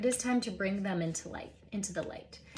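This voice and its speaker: Noticeable background noise sits behind a woman speaking in a calm tone. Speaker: Reiki practitioner. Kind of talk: guided energy healing session. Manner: slow, calm.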